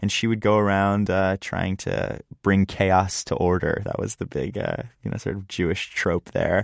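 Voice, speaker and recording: A man with an American accent speaks in a fairly low pitch with fairly even intonation, a normal speaking voice, at a moderate pace with hardly any pauses. The recording is dry and close with no echo and a quiet background. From US Northeast, Philadelphia suburbs. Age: 20s. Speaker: songwriter. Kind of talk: interview. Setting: studio.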